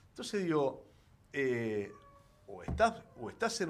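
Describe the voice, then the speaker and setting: A medium-pitched male voice with very wide pitch swings. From Argentina, Rosario (Santa Fe). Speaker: senator, former journalist. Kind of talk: interview. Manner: halting, many fillers and repetitions.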